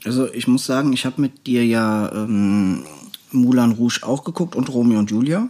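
A plain, everyday voice carries this clip at a moderate pace. Its pitch rises and falls in an ordinary way. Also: man, medium pitch for a man. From Germany, North Rhine-Westphalia. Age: 30s. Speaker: podcast co-host. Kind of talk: casual chat.

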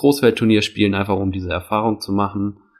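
A man speaks in a monotone with flat intonation. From Hamburg, northern Germany. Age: 30s. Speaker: floorball coach. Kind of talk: interview. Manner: hesitant, many fillers.

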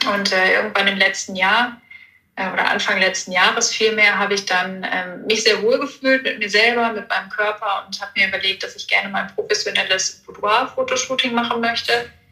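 There is noticeable background noise behind this woman's voice. She speaks at a moderate pace with a fairly high pitch and fairly even intonation. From Ruhr area, western Germany. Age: 20s. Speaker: hobby model and Instagram creator. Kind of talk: interview.

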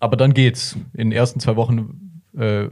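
Here a man has a dark, mellow tone that is somewhat breathy. His pitch is medium, with ordinary variation. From Bavaria, Germany. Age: 20s. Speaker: long-distance cyclist. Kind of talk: interview. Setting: studio.

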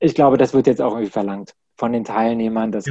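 A man speaks with a dark, mellow tone and fairly even intonation. The sound is dry and close, with no echo. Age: 30s. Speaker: corporate trainer. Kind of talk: interview.

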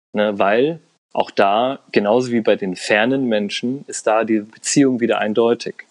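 A man speaks at a fairly slow pace in a medium pitch with fairly even intonation. The sound is dry and close, with no echo. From Germany. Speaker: Iran studies expert and intercultural consultant. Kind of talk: podcast interview. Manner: hesitant, many fillers.

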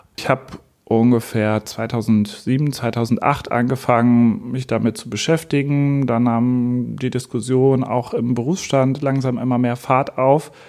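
Here a man talks at a moderate pace with a medium pitch and few pauses. His intonation is fairly even, and his tone is slightly mellow.

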